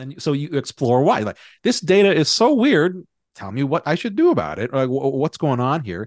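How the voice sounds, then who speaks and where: A man speaks at a moderate pace in a fairly high pitch that swings very widely, with a quiet background behind him. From Hawaii. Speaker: business author and category strategy expert. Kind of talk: casual interview.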